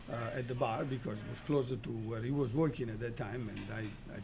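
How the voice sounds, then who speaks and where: With vocal fry and an Italian accent, the speaker talks at a fairly quick pace with hardly any pauses and fairly even intonation. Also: man. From Italy, Turin. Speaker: restaurateur. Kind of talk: interview.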